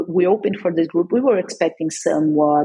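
This woman has a fairly low pitch and a dark, mellow tone. She speaks with a non-native accent. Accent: foreign. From Brazil, São Paulo. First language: Portuguese. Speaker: cannabis industry entrepreneur. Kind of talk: interview.

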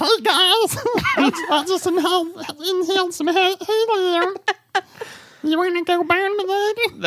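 This is a put-on character voice, squeaky and extremely high in pitch. It moves at a very slow pace. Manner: playful.

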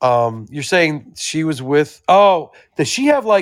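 A man with a plain, everyday voice speaks at a fairly high pitch with lively intonation, recorded very cleanly against a silent background. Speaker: co-host guest. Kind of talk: casual banter.

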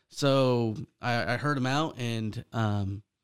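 A man's medium-pitched voice with an American accent and ordinary pitch variation, on a very clean recording with a silent background. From California, Central Valley (Fresno). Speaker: real estate investor. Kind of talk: casual interview. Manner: halting, many fillers.

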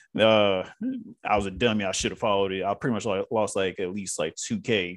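The recording is very clean with a silent background, and a man speaks at a very fast pace. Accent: Southern US. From US South. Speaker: actor. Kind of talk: casual chat.

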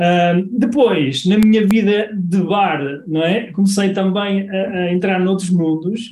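This man's voice sits high, with ordinary pitch variation. He talks at a very slow pace. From northern Portugal, Guimarães. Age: 40s. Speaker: e-commerce marketing consultant. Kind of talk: interview.

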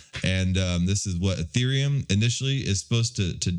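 This man's fairly low voice moves with lively intonation at a moderate pace. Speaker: crypto podcast host. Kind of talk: informal, slangy. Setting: home, early morning. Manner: casual, conversational.

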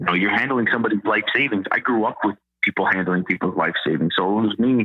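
A man talks at a very fast pace with a fairly low pitch. His intonation stays fairly even. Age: 30s. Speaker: real estate agent, former musician. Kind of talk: casual interview.

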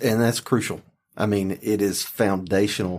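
In an unremarkable speaking voice, a man with an American accent talks at a moderate pace, his fairly low pitch held in fairly even intonation, on a very clean recording with a silent background. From rural North Carolina. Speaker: podcast host, county official. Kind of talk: podcast interview.

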